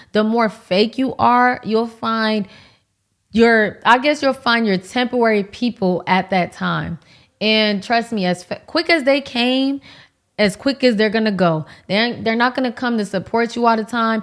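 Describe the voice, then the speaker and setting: A fairly high-pitched woman with an American accent and an animated tone, speaking at a fairly slow pace with ordinary pitch variation. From Miami, Florida (Haitian American). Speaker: lifestyle YouTuber. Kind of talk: casual chat. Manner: loud.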